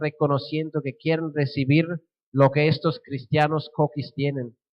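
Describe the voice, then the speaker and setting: A man in a Swiss German accent, fairly high-pitched, at a fairly slow pace. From Switzerland (German-speaking). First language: Swiss German (speaking Spanish). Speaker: missionary. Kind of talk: sermon.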